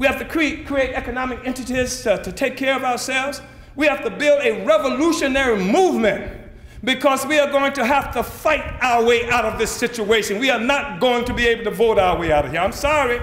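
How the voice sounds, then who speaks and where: With an American accent, a man talks at an extremely high pitch and fairly quick pace with ordinary pitch variation, amid audible room echo and noticeable background noise. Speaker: political movement leader. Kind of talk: political speech. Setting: conference audience. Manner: fast; animated.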